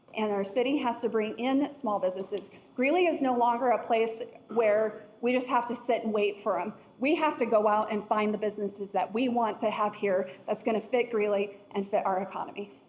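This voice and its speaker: Against noticeable background noise, a woman with a fairly high pitch talks at a fairly quick pace. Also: ordinary pitch variation. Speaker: city council candidate. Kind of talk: candidate forum answer. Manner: loud. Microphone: no microphone, technical difficulties.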